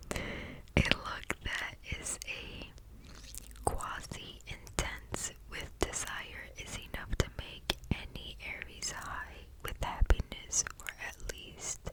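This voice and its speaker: A woman whispering at a very slow pace, with big swings in loudness over noticeable background noise. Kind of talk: ASMR book reading, relaxing. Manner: whispered, soft-spoken.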